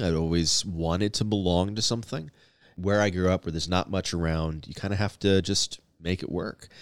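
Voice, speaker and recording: A man with an American accent speaks at a moderate pace in a very deep, low voice, on a very clean recording with a silent background. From US Southwest, Arizona–Mexico border. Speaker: pastor. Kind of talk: casual interview.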